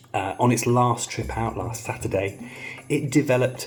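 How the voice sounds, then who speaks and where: Background music can be heard. The man's pitch varies in an ordinary way. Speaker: DIY car mechanic YouTuber. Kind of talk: casual vlog to camera. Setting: outdoors in the rain. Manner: quiet.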